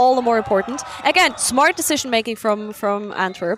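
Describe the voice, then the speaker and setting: A woman speaks at fairly high pitch and a moderate pace with lively intonation. Noticeable background noise is present. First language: not English. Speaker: sports commentator. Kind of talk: live commentary.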